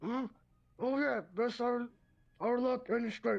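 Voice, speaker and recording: Someone uses a put-on character voice, fairly high in pitch, at a fairly slow pace. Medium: actual play. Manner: hearty.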